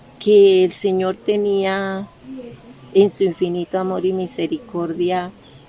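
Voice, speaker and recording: A woman's flat, monotone voice at a very slow pace, over noticeable background noise. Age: 60s. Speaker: retired hairstylist giving church testimony. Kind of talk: testimony. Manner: hesitant, many fillers.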